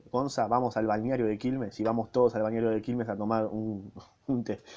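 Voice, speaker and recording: The pace is moderate as a man talks. He stays at a medium pitch. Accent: Rioplatense. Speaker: podcaster reading a book. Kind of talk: reading aloud with casual commentary. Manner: casual.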